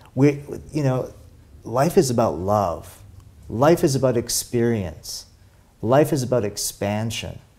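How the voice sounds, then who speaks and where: A man's voice has a dark, mellow tone and ordinary pitch variation. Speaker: interview guest, spiritual coach. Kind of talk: interview answer. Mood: warm, reflective. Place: home room. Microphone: lapel.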